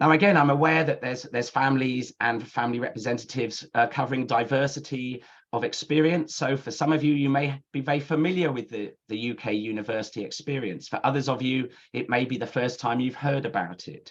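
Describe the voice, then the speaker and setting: Here a man talks with a British accent. His pitch is medium and his pace fairly quick. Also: ordinary pitch variation. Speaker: university admissions counsellor. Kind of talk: webinar presentation. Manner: fast.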